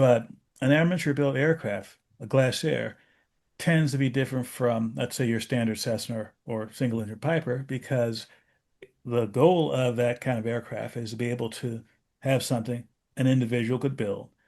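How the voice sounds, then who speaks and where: The man has a normal speaking voice at a medium pitch. He speaks at a moderate pace with fairly even intonation. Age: 60s. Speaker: aviation safety podcast host. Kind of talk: casual discussion.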